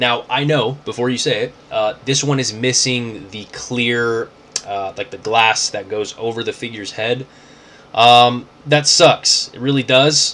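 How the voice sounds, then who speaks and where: Noticeable background noise fills the recording. Through it, a man talks fairly slowly. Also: medium pitch for a man. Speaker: toy collector YouTuber. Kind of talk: casual unboxing vlog. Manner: casual, filler-heavy; animated.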